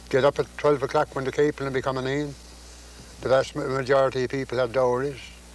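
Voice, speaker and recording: Very fast, monotone, flat speech from a man at medium pitch with a Newfoundland accent. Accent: Newfoundland Irish-like. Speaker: farmer. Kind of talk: interview answer.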